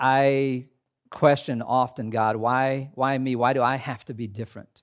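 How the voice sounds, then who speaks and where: In a very clean recording with a silent background, a man with an American accent talks at a fairly slow pace, his medium-pitched voice flat and monotone. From US Midwest, southern Indiana. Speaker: pastor. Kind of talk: sermon. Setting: chapel with audience.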